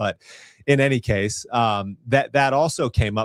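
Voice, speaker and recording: An ordinary speaking voice from a man with an American accent, medium in pitch at a moderate pace, in a very clean recording with a silent background and a dry, close sound with no echo. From Virginia. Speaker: talk show host. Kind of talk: casual interview chat.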